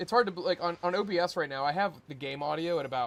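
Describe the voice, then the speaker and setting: A man speaks with ordinary pitch variation. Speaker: gaming streamer. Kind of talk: casual gaming livestream chat. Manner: loud.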